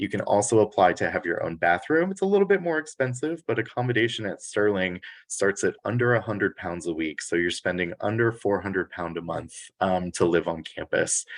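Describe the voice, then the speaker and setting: At a fairly quick pace, a man speaks with lively intonation against a quiet background. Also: dry, close sound with no echo. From United States. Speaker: international recruitment manager. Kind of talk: presentation at virtual college fair.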